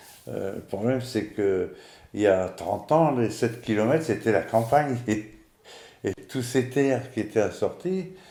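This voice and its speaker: A man at a medium pitch, dark and mellow in tone, with lively intonation and a fairly slow pace. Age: 60s. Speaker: retired civil servant. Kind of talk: casual interview.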